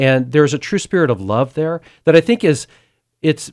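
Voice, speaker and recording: The recording is very clean and dry, with a silent background, close sound and no echo. A man speaks with an American accent. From US West, Sacramento, California. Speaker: agricultural communicator and charity board member. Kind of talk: testimony.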